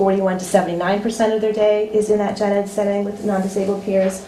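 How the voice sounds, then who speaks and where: Fairly quick speech from a woman at a medium pitch, amid audible room echo and noticeable background noise. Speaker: school special education director. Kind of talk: budget presentation at public meeting. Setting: public meeting with audience. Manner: fast; hesitant, many fillers.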